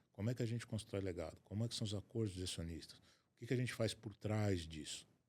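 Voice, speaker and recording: A man's somewhat breathy, fairly low voice at a very fast pace, with ordinary pitch variation and big swings in loudness. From Brazil, Rio de Janeiro state. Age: 60s. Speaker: asset protection and estate planning specialist. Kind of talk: interview conversation.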